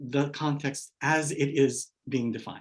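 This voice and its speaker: A man with a slight Hawaii accent. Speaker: education scholar, keynote speaker. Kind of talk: keynote lecture.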